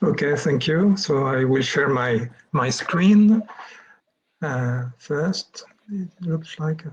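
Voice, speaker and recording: A man's very slow, fairly high-pitched speech in a French accent, with lively intonation and long, frequent pauses. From France. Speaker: plant pathologist. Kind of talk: lecture. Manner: halting.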